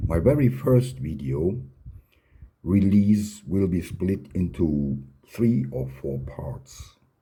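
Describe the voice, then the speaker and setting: Somewhat breathy and with a non-native accent, a man speaks at a very slow pace and a very deep, low pitch, his pitch swinging very widely amid audible room echo. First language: not English. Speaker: fountain pen hobbyist and channel host. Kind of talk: tutorial.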